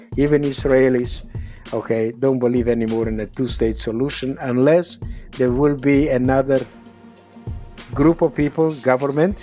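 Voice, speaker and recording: A man speaks with fairly even intonation over music in the background. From Czernovitz, Romania (now Ukraine). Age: 80s+. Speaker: Holocaust survivor and motivational speaker. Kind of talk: podcast interview answer.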